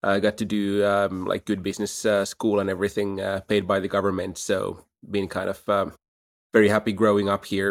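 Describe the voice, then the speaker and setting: Fairly quick, monotone speech from a man with a fairly low pitch and a Finnish accent, on a very clean recording with a silent background. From Finland, Helsinki. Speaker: startup CEO. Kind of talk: interview.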